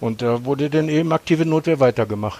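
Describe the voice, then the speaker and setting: A man's fairly high voice with ordinary pitch variation and a fairly quick pace, over noticeable background noise. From Germany, Hannover. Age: 60s. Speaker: punk singer. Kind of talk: casual chat.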